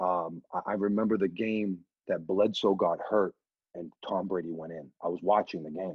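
A man at a fairly quick pace with a Boston accent. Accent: Boston area. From New Hampshire. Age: 40s. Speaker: radio DJ. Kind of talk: casual chat. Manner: animated.

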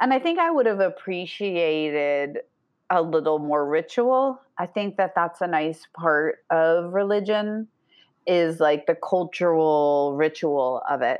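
Her pitch is fairly low, and this woman has a normal speaking voice with lively intonation. She goes at a fairly slow pace with very even loudness. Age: 40s. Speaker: life coach. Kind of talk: casual chat.

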